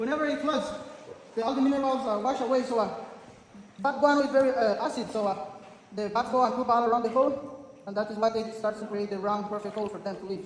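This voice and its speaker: Very fast speech in a Spanish accent, broken by long, frequent pauses, over noticeable background noise. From Honduras, San Pedro Sula. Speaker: tour guide. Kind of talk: guided tour talk.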